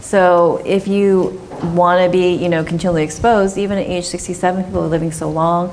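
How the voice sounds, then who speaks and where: In an American accent, a woman with a fairly low pitch talks at a fairly quick pace in monotone, flat intonation, with audible room echo and noticeable background noise. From Southern California. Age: 40s. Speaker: dermatologist. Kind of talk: Q&A after a medical talk.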